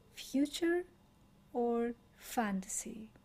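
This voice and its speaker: A soft-spoken woman talks in a somewhat breathy voice. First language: Greek. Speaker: meditation teacher. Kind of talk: guided meditation. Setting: live stream. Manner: slow.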